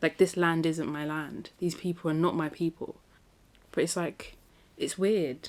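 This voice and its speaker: Slowly and with a London accent, a woman speaks at a fairly low pitch, her pace very slow. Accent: British (London). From South London, England. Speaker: podcast host. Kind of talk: casual monologue. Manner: animated.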